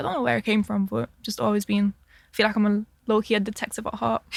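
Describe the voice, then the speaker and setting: A woman's fairly high voice at a very fast pace, dry and close with no echo. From Lithuania, moved to England as a child. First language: Lithuanian. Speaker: law student and podcaster. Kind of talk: casual chat.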